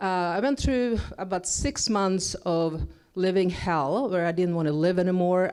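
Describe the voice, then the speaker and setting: A woman with a Swedish accent speaks at medium pitch and a moderate pace, with ordinary pitch variation, in a very clean recording with a silent background. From Sweden. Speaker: motivational speaker. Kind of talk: inspirational stage talk. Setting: stage with audience.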